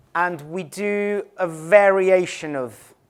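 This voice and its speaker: In an English accent, a man speaks at a high pitch. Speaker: conference speaker, digital strategy director. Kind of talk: conference presentation. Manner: some hesitations and restarts.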